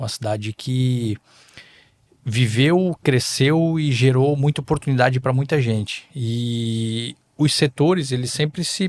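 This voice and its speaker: At a very slow pace, a man speaks at medium pitch with ordinary pitch variation, the sound dry and close with no echo. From southern Brazil, Balneário Camboriú (Santa Catarina). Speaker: politician and investor. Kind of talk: podcast interview. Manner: halting, with filler hesitations.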